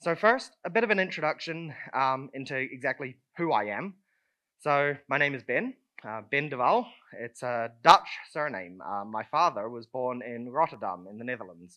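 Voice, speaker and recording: With a New Zealand accent, a man of medium pitch speaks at a moderate pace, his intonation lively and his loudness swinging widely, over a quiet background. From southern New Zealand. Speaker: conference speaker. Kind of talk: conference talk. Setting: stage with audience. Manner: casual, many fillers.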